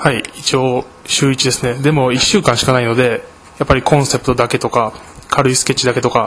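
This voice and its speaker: Over noticeable background noise, a man talks at a fairly quick pace with a medium pitch and fairly even intonation. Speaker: architecture student. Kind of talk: interview.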